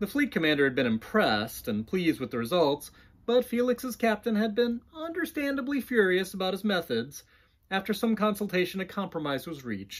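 Very wide pitch swings at a fairly quick pace against a quiet background. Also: man, high pitch for a man. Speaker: author. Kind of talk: audiobook-style fiction reading. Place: home room.

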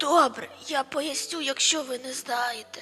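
A woman's raspy, put-on character voice at a fairly slow pace, with clear music in the background. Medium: fan dub.

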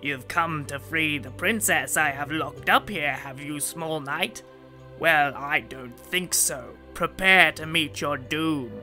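A man growls in a cartoonish character voice at a fairly high pitch and a fairly slow pace. Clear music plays in the background. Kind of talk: children's puppet show. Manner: snarling, menacing.

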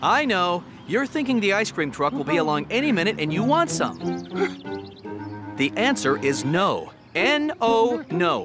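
A cartoonish character voice from a man, high-pitched and fairly bright, with big pitch swings at a fairly slow pace and faint music in the background

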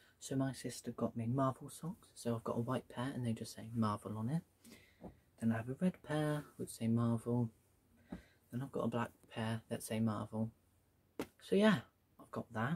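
The man is soft-spoken and somewhat breathy, with a medium pitch. His pace is moderate and his pitch varies in an ordinary way. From UK. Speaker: YouTuber. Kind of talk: casual haul video. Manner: soft-spoken, speaking quietly. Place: home room. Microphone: phone near.

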